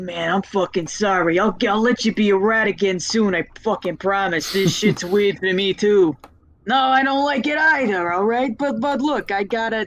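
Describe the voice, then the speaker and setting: A put-on character voice, female-sounding, mumbling at a moderate pace and a medium pitch for a woman. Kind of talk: casual, muttered, profane. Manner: mumbling, apologetic.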